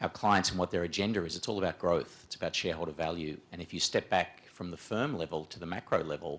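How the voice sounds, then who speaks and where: A man with a strong Australian accent talks at a fairly quick pace. His pitch is very deep and low, with fairly even intonation. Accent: broad Australian. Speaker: management consultant, panelist. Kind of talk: panel discussion presentation. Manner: hesitant, many fillers and repetitions.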